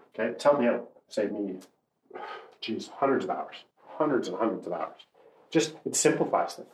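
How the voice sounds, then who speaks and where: With long, frequent pauses at a moderate pace, the speaker uses very wide pitch swings, an animated tone and vocal fry, and the room echo is audible. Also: man, medium pitch for a man. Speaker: mortgage broker and podcast host. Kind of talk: solo monologue podcast, casual coaching talk. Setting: walking around with whiteboard.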